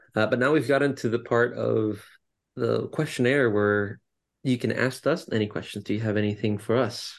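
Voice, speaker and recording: A man talks in a plain, everyday voice at medium pitch, with very even loudness, fairly even intonation and a quiet background. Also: moderate pace. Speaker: podcast co-host. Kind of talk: casual interview chat.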